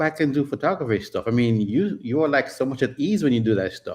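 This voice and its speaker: A man with a Jamaican accent speaks at a fairly quick pace. His intonation is lively, and the background is quiet. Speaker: photographer and travel YouTuber. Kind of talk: casual chat. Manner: speeds up and slips into patois when excited.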